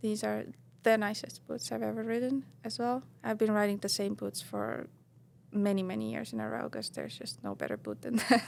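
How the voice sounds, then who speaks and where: Speaking at a fairly quick pace in an Estonian accent, a woman uses a medium pitch with very wide swings. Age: 30s. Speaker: professional snowboarder. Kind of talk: casual podcast interview. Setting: studio. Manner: hesitant, many fillers.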